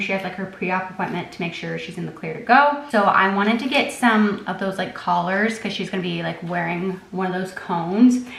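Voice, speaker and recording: Hardly pausing, a woman with a medium pitch speaks at a fairly quick pace with fairly even intonation, amid noticeable background noise and audible room echo. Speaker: lifestyle vlogger. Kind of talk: casual vlog talk to camera. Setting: at home in the evening. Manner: soft-spoken.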